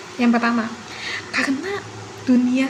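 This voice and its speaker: A high-pitched woman's voice carries audible room echo along with noticeable background noise. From South Kalimantan, Indonesia (Banjar). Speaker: university student. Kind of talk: class assignment presentation. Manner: formal.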